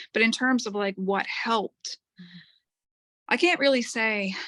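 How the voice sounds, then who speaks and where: In a dry, close sound with no echo, a woman speaks at a fairly slow pace with ordinary pitch variation. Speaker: school principal and teacher. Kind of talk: interview answer.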